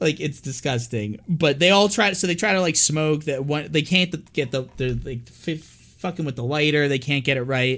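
With an unremarkable speaking voice, a man talks in a fairly high pitch with ordinary pitch variation. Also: moderate pace. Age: 30s. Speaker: horror movie podcast co-host. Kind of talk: casual chat. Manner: frequent laughter.

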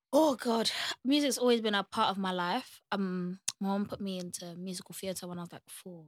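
A woman with a London accent speaks at a medium pitch and a moderate pace. Her pitch varies in an ordinary way, while her loudness swings widely. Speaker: singer-songwriter. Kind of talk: casual chat.

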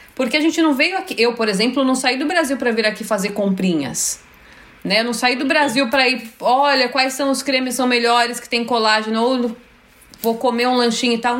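Speaking with a São Paulo accent, the voice moves at a fairly quick pace with ordinary pitch variation. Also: woman. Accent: Brazilian Portuguese, São Paulo. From São Paulo, Brazil (Freguesia do Ó). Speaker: YouTuber. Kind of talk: casual chat.

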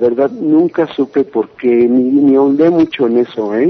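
This man has a plain, everyday voice, pitched fairly high for a man and delivered at a fairly slow pace. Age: 30s. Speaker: metal singer. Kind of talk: interview.

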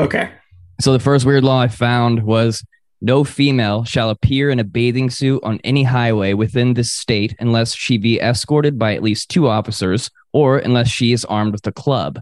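With an American accent and a plain, everyday voice, a man talks at a moderate pace and medium pitch with fairly even intonation over a quiet background. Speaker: podcast host. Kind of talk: casual chat. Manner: casual, joking.

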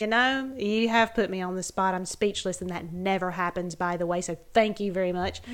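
A woman's medium-pitched voice, fairly even in intonation, with hardly any pauses. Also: moderate pace. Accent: Southern US. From US South. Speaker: podcast guest, mother of co-host. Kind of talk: casual chat.

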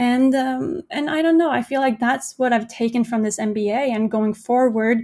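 A woman with a Norwegian accent at a fairly slow pace, with ordinary pitch variation, in a very clean recording over a silent background. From Norway. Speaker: entrepreneur. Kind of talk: interview.

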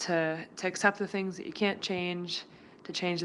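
An ordinary speaking voice goes at a moderate pace against a quiet background. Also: woman. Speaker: nurse. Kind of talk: recorded personal reflection.

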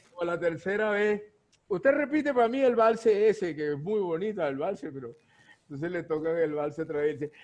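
Lively intonation and a high pitch characterize this man's voice. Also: moderate pace. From Venezuela, Guayana region. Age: 60s. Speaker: cuatro musician. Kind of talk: casual interview chat.

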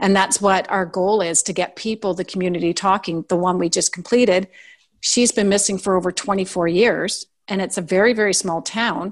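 A woman with an unremarkable speaking voice and a Canadian accent, at a moderate pace and medium pitch, with fairly even intonation and a quiet background. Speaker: podcaster. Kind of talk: casual interview.

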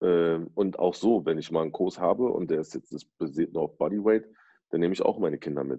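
Very deep, low male pitch with ordinary pitch variation, delivered by a man at a fairly quick pace. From Berlin, Germany. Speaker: DJ and rapper. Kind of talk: casual chat. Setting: at home, video call.

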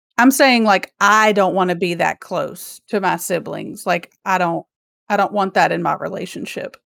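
On a very clean recording with a silent background, a woman speaks with vocal fry at medium pitch and a moderate pace, her intonation fairly even. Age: 30s. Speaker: podcast co-host. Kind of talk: reading prepared true crime story; casual chat.

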